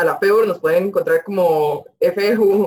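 Her intonation fairly even, a woman talks at medium pitch in an ordinary speaking voice. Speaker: student representative. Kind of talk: interview.

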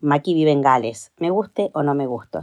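This woman's voice has a very deep, low pitch and a dark, mellow tone, with ordinary pitch variation at a moderate pace. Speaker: grandmother. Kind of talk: prepared testimony recording.

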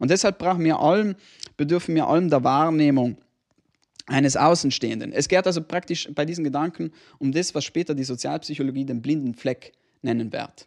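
With a plain, everyday voice, a man of fairly high pitch speaks at a fairly quick pace and ordinary pitch variation in a dry, close sound with no echo. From not South Tyrol. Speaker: podcast co-host. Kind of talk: casual chat.

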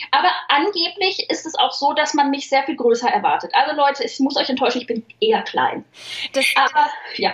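Against noticeable background noise, a woman's squeaky, high-pitched voice makes very wide pitch swings. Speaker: humor author and social media writer. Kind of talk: interview conversation. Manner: fast.

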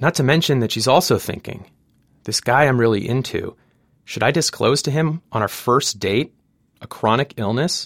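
A man with an unremarkable speaking voice talks at a moderate pace with ordinary pitch variation, captured in a dry, close sound with no echo. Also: medium pitch for a man. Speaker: radio reporter and storyteller. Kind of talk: narrated news feature, conversational.

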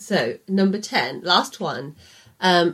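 This is a woman's voice. She speaks with a Birmingham accent. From English Midlands, Birmingham. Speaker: podcast co-host. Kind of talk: casual chat. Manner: loud.

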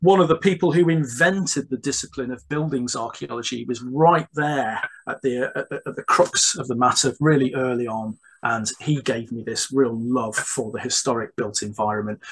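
A man talks at a moderate pace with ordinary pitch variation. There is a slightly husky edge to his voice. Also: medium pitch for a man.

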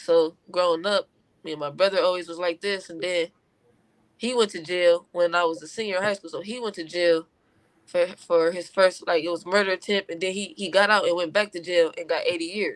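Her voice fairly low in pitch, a woman speaks at a fairly quick pace in a plain, everyday voice, with fairly even intonation. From Compton, California. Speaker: independent rapper. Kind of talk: interview. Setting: at home.

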